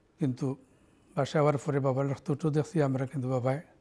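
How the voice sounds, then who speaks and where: A man's fairly high pitch carries a dark, mellow tone. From Sylhet, Bangladesh (Bishwanath); Sylhet, Bangladesh. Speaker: community leader and anti-racism activist. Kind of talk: interview. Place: studio. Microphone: lapel.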